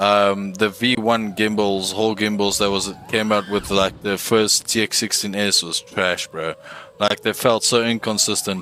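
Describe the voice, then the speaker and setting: A man with a South African accent, fairly low in pitch, at a fairly slow pace with monotone, flat intonation, against noticeable background noise. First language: Afrikaans. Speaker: gaming streamer. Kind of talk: casual gameplay livestream. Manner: casual, halting.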